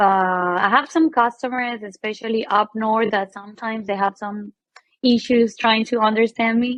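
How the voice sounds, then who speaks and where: Speaking with a Venezuelan accent, a woman keeps a moderate pace and a fairly high pitch with fairly even intonation. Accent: Venezuelan Spanish accent, noticeable. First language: Spanish. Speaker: medical equipment business co-owner, sales. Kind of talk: casual chat.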